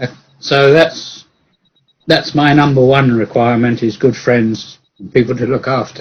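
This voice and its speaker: A man with an English accent speaks at a moderate pace and medium pitch, somewhat breathy, with fairly even intonation and long, frequent pauses. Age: 70s. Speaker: engineer and mathematician. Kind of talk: casual chat. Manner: halting.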